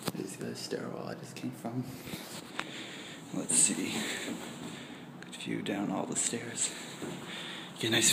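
The pace is moderate, with long, frequent pauses. Loud background noise runs throughout. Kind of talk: casual vlog chat. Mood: slightly nervous, joking. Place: garage. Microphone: phone near.

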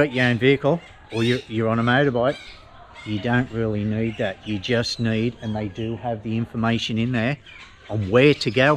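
Light background noise sits under a man speaking at a moderate pace with fairly even intonation. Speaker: travel vlogger. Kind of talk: casual vlog chat. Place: street. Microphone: phone near.

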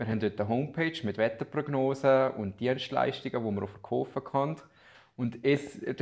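A man with an unremarkable speaking voice, moderate pace and ordinary pitch variation, against a quiet background. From Liechtenstein, Balzers; Liechtenstein. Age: 20s. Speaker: student teacher and amateur weather forecaster; student teacher. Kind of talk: interview. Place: office.

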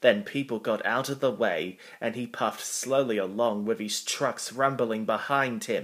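It is a natural reading voice. Pitch varies in an ordinary way.

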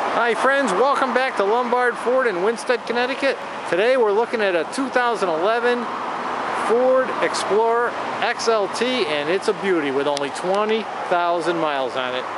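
Fairly slow speech in a dry sound with no echo, over loud background noise. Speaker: car salesman. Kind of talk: car dealership sales pitch, walkaround video tour. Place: street. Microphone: phone near.

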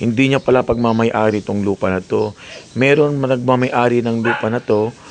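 A man with a medium pitch and fairly even intonation talks at a moderate pace against noticeable background noise. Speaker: vlogger. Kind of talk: vlog narration. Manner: loud.

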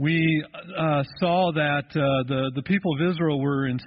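Over light background noise, a man talks with ordinary pitch variation. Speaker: pastor. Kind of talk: sermon. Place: church.

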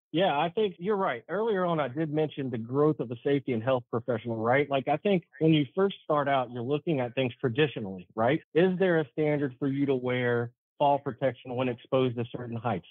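In an American accent, a man speaks quickly with hardly any pauses, a fairly high pitch, lively intonation and a normal speaking voice. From US South, Charlotte, North Carolina. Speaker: municipal safety and risk manager. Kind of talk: interview.

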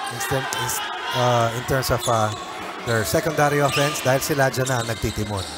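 Over music in the background, a man talks at a fairly quick pace in an upbeat tone. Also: medium pitch for a man. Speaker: color commentator. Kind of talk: live sports commentary. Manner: conversational, upbeat analyst, Taglish.

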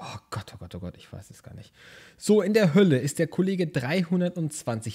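A man's high-pitched voice, dark and mellow in tone, with lively intonation. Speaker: gaming YouTuber. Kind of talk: let's play commentary. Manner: animated.

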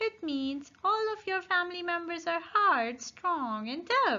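In a put-on character voice, a woman speaks at a fairly slow pace with an extremely high pitch. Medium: read story. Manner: friendly, explanatory.

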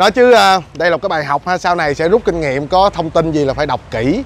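A man at a fairly quick pace with lively intonation, dry sound with no echo and light background noise. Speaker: vlogger. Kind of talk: casual vlog chat. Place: street. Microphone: phone near.

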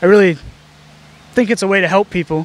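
The speaker has an American accent and a fairly bright tone. Intonation stays fairly even. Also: man.

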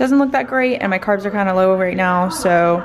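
Light background noise sits under a woman's voice, which shows ordinary pitch variation. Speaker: fitness vlogger. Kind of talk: casual vlog chat. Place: home room. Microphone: phone near.

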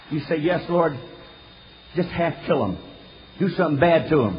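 Over noticeable background noise, a man with an American accent talks at a moderate pace in a fairly high voice with ordinary pitch variation. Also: long, frequent pauses. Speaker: pastor. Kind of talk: sermon.

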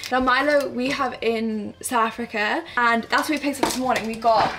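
Amid noticeable background noise, a woman speaks in a high voice with fairly even intonation. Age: 20s. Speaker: vlogger. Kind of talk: casual vlog talk to camera. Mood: cheerful, relaxed. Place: home room. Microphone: phone near.

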